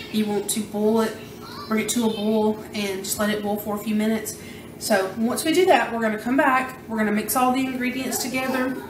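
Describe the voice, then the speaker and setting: Over noticeable background noise, a woman speaks fairly quickly with fairly even intonation. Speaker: home cooking show host. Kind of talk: tutorial. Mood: relaxed, casual. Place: kitchen.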